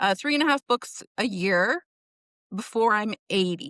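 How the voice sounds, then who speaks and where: Over a quiet background, a woman with a Western Canadian accent speaks in a fairly high voice with an animated tone. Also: dry, close sound with no echo. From British Columbia, Canada. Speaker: indie author and book coach. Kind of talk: casual interview chat.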